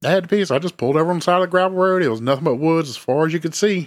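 A man speaks very fast in a high pitch. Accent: Southern US. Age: 30s. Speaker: true crime podcast co-host. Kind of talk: casual chat.

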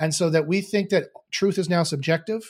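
A somewhat breathy voice with a Canadian accent moves at a fairly quick pace. The recording is very clean, with a silent background. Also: man. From Canada. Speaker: philosopher and SEO teacher. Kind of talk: guided meditation; interview conversation. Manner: halting, repeats words.

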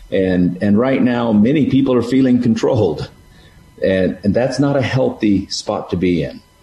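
There is noticeable background noise behind a man speaking at a moderate pace. His pitch is medium, with ordinary variation. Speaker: parent of five. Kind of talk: casual chat.

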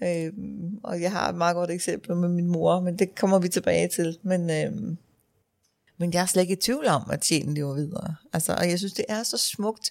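In a very clean recording with a silent background, a woman with a fairly low pitch talks at a fairly slow pace with ordinary pitch variation. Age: 50s. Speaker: funeral director. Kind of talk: casual interview. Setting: funeral home office. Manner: hesitant, many fillers.

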